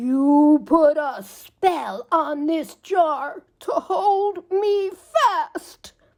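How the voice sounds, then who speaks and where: A woman puts on a character voice at an extremely high pitch, speaking very slowly. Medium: read story.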